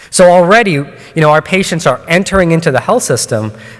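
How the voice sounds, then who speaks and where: Through noticeable background noise, a man's words come at a fairly quick pace. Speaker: oncologist and researcher. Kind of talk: conference talk. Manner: hesitant with many fillers.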